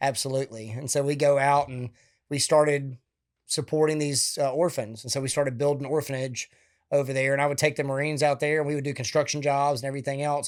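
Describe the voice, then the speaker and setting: With a Southern US accent, a man talks at a very fast pace in a fairly high pitch and monotone, flat intonation. The recording is very clean, with a silent background. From Alabama, US South. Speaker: retired military officer and veteran charity founder. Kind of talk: interview conversation.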